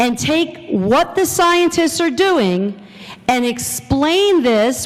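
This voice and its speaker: Full of very wide pitch swings, a woman speaks in an animated tone over noticeable background noise and audible room echo. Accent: American. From New Jersey. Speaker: science educator. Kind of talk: conference presentation. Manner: loud.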